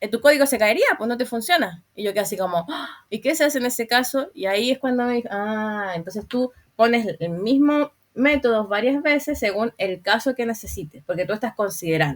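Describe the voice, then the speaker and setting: Lively intonation carries the speech at a fairly quick pace with hardly any pauses. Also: woman, fairly high pitch for a woman. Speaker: programming instructor. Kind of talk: online class lecture. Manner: fast; halting, repeats words.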